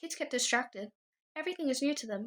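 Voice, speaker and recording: A woman's put-on character voice, gruff and high-pitched, with lively intonation at a very fast pace. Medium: read story.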